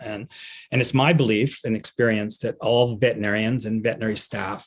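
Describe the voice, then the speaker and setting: The background is quiet as a man speaks. His pitch is medium, with fairly even intonation. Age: 60s. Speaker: veterinarian and pet end-of-life doula. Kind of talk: conference talk. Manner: halting, many fillers and repeats.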